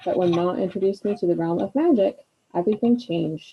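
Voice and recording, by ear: Ordinary pitch variation against a quiet background, reading aloud in a natural voice.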